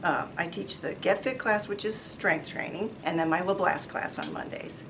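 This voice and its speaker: A woman talks against noticeable background noise. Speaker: fitness instructor. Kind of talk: interview.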